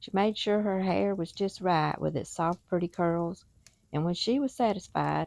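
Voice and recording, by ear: The text is read aloud in a natural voice with ordinary pitch variation.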